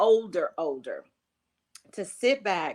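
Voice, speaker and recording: A woman talks at a medium pitch. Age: 60s. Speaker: interior remodeler and entrepreneur. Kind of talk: interview conversation. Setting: podcast interview. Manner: animated.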